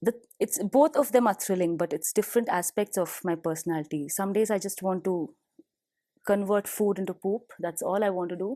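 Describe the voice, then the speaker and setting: A woman with a Tamil accent speaks at a fairly quick pace in a medium pitch. Her tone is dark and mellow, with a dry, close sound and no echo. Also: ordinary pitch variation. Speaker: professional musician, bassist and vocalist. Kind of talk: interview. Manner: animated.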